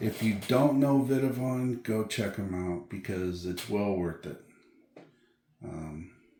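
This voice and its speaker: A man with a fairly low pitch at a very slow pace, with audible room echo. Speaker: RC car hobby youtuber. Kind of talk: unboxing video. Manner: soft-spoken; casual. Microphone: too quiet, hard to hear.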